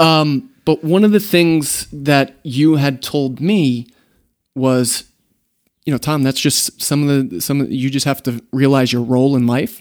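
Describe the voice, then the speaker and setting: A man talks in a plain, everyday voice pitched fairly high. His pitch varies in an ordinary way. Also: fairly slow pace. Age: 30s. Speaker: event host and business partner. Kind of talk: interview. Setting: studio.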